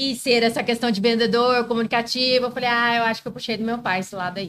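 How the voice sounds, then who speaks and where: Her voice is a normal speaking voice, a woman's at a fairly high pitch with fairly even intonation. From Brazil, Mato Grosso (Várzea Grande). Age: 30s. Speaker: lawyer. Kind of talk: casual chat.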